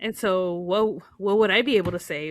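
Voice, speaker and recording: A woman speaks with a Spanish accent. Her pace is moderate. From United States, raised in Spanish-speaking Mexican family. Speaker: podcast co-host. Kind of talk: casual chat. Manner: halting, many fillers.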